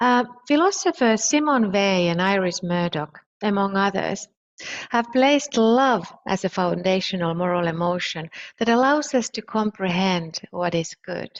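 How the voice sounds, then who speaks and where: With a Finnish accent, a woman of medium pitch speaks with lively intonation. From Finland. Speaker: philosopher. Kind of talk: lecture. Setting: online conference.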